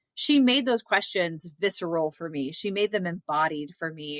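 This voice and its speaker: Lively intonation marks this woman's speech, delivered at a moderate pace in a Southern US accent. The sound is dry and close, with no echo. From US South (Georgia). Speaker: literature scholar and author. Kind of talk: interview conversation. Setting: podcast interview.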